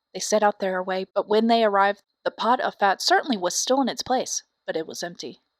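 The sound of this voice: Speaking at a fairly quick pace, a woman with medium pitch and ordinary pitch variation comes across in a dry, close sound with no echo.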